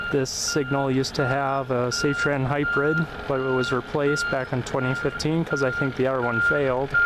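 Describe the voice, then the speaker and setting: A man with a fairly high pitch speaks at a moderate pace, his pitch varying in an ordinary way, over noticeable background noise. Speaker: railroad crossing video creator. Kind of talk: casual tour narration. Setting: outdoors.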